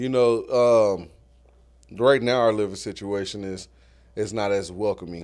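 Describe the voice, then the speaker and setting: The speaker has an American accent and a fairly slow pace. The intonation is fairly even, broken by long, frequent pauses. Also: man, fairly low pitch for a man. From Guthrie, Oklahoma. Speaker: artist and community leader. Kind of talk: casual interview.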